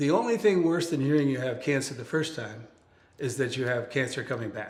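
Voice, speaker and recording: Audible room echo surrounds a man's somewhat breathy, medium-pitched voice with fairly even intonation. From upstate New York. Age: 70s. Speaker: cancer survivor and author. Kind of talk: interview. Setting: guest's home.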